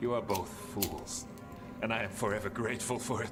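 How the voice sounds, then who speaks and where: Loud background noise surrounds a man using a put-on character voice. He talks at a medium pitch and a fairly quick pace. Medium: game stream. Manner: solemn, formal.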